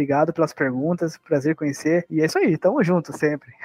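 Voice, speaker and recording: At a fairly quick pace, a man speaks in a fairly high pitch with fairly even intonation. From Brazil, Sorocaba, interior of São Paulo. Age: 20s. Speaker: percussionist. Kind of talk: casual interview.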